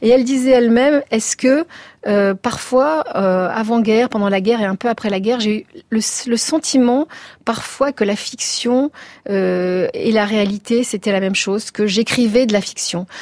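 In a dry, close sound with no echo, a woman with a fairly high pitch uses a normal speaking voice with ordinary pitch variation. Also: moderate pace. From Tunisia. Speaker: writer and journalist. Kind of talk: radio interview.

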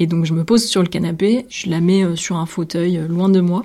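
A woman's dark, mellow tone at a fairly slow pace, with fairly even intonation. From southern France, Nîmes. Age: 20s. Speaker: visual artist. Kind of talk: testimony.

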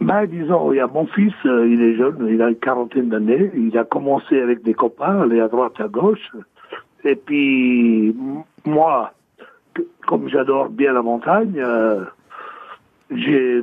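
Fairly slow and marked by long, frequent pauses, a man's medium-pitched voice swings very widely in pitch. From Haute-Savoie, France. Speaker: caller, mineral hunter. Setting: phone call.

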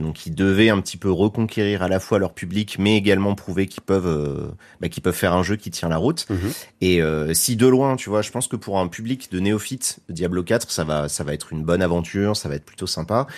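Over a quiet background, a man with a very deep, low pitch talks at a fairly quick pace with ordinary pitch variation and hardly any pauses. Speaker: YouTube content creator. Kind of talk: casual radio interview.

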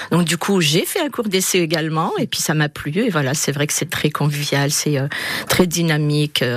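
A woman's very deep, low pitch with ordinary pitch variation at a moderate pace, amid noticeable background noise. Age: 60s. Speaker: retiree and amateur choir singer. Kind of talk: radio interview. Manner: hesitant, with many fillers.

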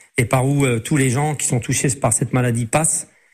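A man's medium-pitched, somewhat breathy voice, fairly even in intonation, at a moderate pace. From Lorraine, Moselle (Metz). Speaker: race walker, former champion athlete. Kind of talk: radio interview. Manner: halting, many repetitions.

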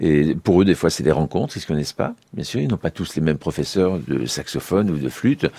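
The man's voice is very deep and low, with ordinary pitch variation. He talks at a fairly quick pace in a dry, close sound with no echo. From France, Aube (Troyes area). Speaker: trombonist and orchestra conductor. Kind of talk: radio interview. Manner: hesitant, many fillers and repetitions.

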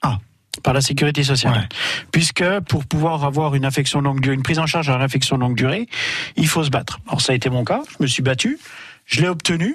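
A man talks at a very fast pace with a fairly high pitch. He uses ordinary pitch variation and takes long, frequent pauses. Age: 40s. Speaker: guest sharing life with obesity. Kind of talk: testimony. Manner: halting.

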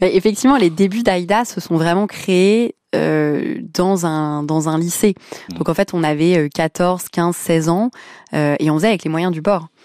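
At a very slow pace, a woman speaks in a fairly low, dark, mellow voice with ordinary pitch variation. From France, Lebanese family. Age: 20s. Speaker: charity founder. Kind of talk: radio interview.

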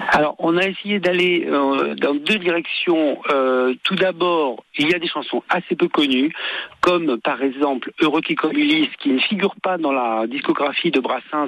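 Lively intonation at a fairly slow pace. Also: man. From born in Tunisia. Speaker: singer. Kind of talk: radio interview. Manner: halting, repeats words. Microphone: bad connection, dropouts.

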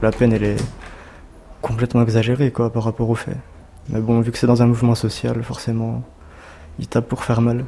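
Over noticeable background noise, a man talks at a fairly quick pace with long, frequent pauses. His medium-pitched voice is monotone and flat. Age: 20s. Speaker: fast-food trainer and protester. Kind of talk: interview testimony. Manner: casual, halting.

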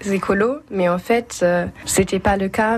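A woman with a German accent at medium pitch, talking at a very slow pace over noticeable background noise. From Germany, Bremen. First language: German (speaking French). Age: young. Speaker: European civic service volunteer. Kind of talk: interview. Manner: halting.

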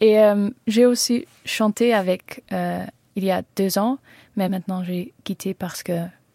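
Speaking at a very slow pace with a Dutch accent, a woman uses a medium pitch, a dark, mellow tone and fairly even intonation, with a dry, close sound with no echo on a very clean recording with a silent background. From Netherlands. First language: Dutch (speaking French). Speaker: singer-songwriter. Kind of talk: radio interview. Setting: studio. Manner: halting.

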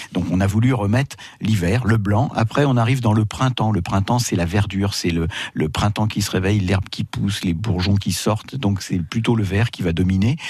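Somewhat breathy and very even in loudness, a man speaks at a moderate pace with a fairly low pitch and ordinary pitch variation. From Paris, France. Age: 60s. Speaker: retired winemaker. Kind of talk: radio interview. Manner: halting.

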